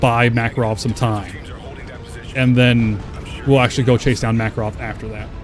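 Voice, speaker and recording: An American accent at a moderate pace with music in the background. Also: man. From Texas. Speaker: streamer. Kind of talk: live gameplay stream chat. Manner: casual, filler-heavy.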